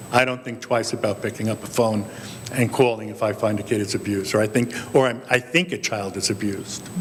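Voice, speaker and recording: Over noticeable background noise, a man speaks at a very fast pace. His pitch is medium and his intonation fairly even. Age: 60s. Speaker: priest panelist. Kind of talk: panel discussion.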